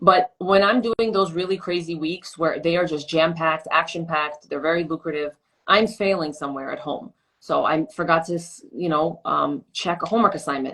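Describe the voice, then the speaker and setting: With an American accent, a woman talks at a fairly low pitch with ordinary pitch variation. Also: fairly quick pace. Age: 30s. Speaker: social media personality and radio commentator. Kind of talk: interview. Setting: live stream. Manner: fast.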